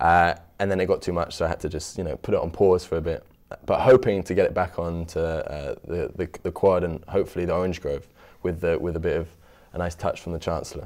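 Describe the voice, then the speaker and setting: A man with a British accent speaks very fast in a very deep, low voice. His intonation stays fairly even. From London, England. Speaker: student food cart owner. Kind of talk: interview. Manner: halting, with repetitions and fillers.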